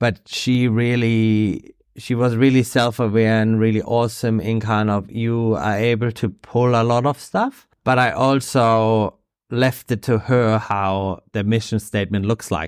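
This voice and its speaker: A man with a German accent talks at medium pitch and a fairly slow pace, with fairly even intonation and very even loudness. The background is silent in this very clean recording. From Germany (Bavaria). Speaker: surf coach and sports development manager. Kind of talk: interview. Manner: halting.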